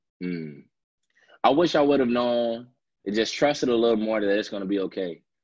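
A man at a medium pitch, fairly quick and lively in intonation, with long, frequent pauses. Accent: American. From Chicago. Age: 20s. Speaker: singer-songwriter. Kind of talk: interview answer.

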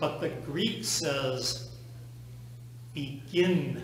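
A man speaks at a very slow pace. Room echo is audible, and background noise comes through clearly.

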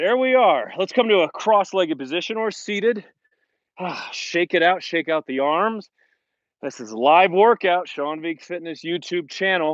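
The sound is dry with no echo as a man talks with lively intonation over a quiet background. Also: big swings in loudness. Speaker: fitness instructor. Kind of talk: workout instruction. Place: open country. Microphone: earbuds.

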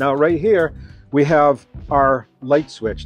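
A man's voice in a dry sound with no echo, with faint music in the background. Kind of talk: tutorial walkthrough. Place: hall.

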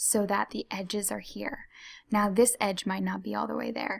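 Soft-spoken, a woman talks at a fairly slow pace. The background is quiet. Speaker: ASMR tutorial creator. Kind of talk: ASMR tutorial, soft-spoken talk to camera. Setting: computer mouse clicks and typing sounds in background.

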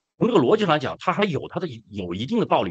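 Against a quiet background, a man with vocal fry talks at a very fast pace in a fairly high pitch, his pitch swinging very widely. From China. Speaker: activist; guest. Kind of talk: casual chat. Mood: earnest, some emotion. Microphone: video call.

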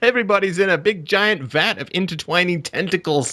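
At a moderate pace, a man speaks with high pitch, a bright, sharp tone and lively intonation.

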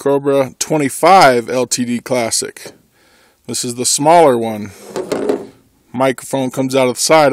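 A man speaks in a dry space with no echo. Noticeable noise sits in the background. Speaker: vlogger. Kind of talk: casual vlog chat. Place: open country.

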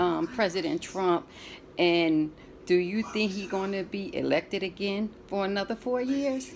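Over light background noise, a woman with a plain, everyday voice at medium pitch talks at a fairly slow pace with lively intonation. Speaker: granddaughter interviewing her grandmother. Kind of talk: casual talk to camera. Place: home room. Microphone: phone near.

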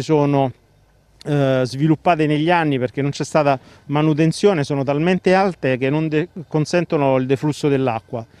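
The sound is dry, with no echo. A man speaks at a moderate pace with ordinary pitch variation. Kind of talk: interview answer. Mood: complaining, concerned. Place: street. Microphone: handheld.

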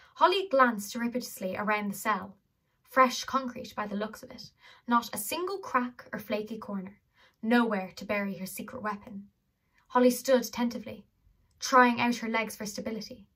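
The tone is bright and sharp, at a moderate pace with ordinary pitch variation. The background is quiet. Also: woman. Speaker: audiobook reader. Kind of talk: reading a novel aloud. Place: home room. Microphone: phone near.

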